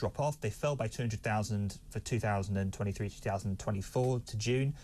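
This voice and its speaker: A man with an English accent talks at a fairly quick pace, somewhat breathy. Pitch variation is ordinary, and the background is quiet. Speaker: political commentator. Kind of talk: debate. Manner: halting.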